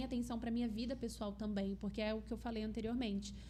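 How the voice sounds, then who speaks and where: A woman speaks in a fairly high pitch with a São Paulo accent. Her intonation is flat and monotone, with audible room echo. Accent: São Paulo accent, noticeable S. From Brazil, São Paulo state. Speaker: health and aesthetics professional, also teacher. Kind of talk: podcast interview.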